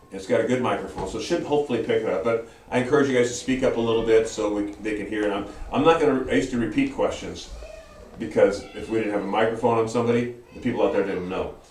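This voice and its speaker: A man speaks at a very fast pace, his pitch in the medium range. The room echo is audible, and background noise is noticeable. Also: ordinary pitch variation. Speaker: Bible study teacher. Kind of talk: Bible study lesson. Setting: church classroom, camera livestream. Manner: hesitant, many fillers.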